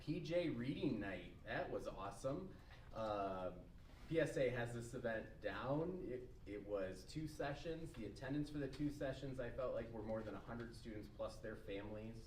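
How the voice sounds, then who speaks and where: A man at medium pitch and moderate pace, lively in intonation, amid noticeable background noise and audible room echo. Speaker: school principal. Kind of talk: administrator report at school board meeting. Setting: school board meeting.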